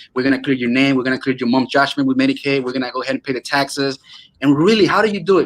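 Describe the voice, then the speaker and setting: At a very fast pace and in an animated tone, a man speaks with a Venezuelan accent. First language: Spanish. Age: 20s. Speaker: real estate wholesaler. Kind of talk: casual interview.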